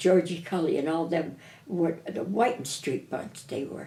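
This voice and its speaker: Fairly low in pitch and somewhat breathy, a woman's dark, mellow voice moves at a fairly slow pace. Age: 90s. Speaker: elderly local resident interviewed. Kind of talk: oral history interview, casual chat. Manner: halting, repeats words.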